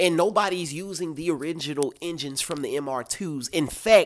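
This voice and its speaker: Fairly high-pitched with ordinary pitch variation, a man talks in an animated tone. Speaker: car YouTuber. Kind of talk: casual commentary vlog. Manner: fast.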